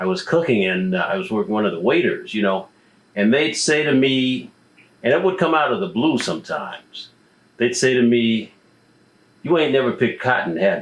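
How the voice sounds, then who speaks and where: With very wide pitch swings and long, frequent pauses, a man talks at a moderate pace and medium pitch. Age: 50s. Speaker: interviewer, musician. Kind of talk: interview.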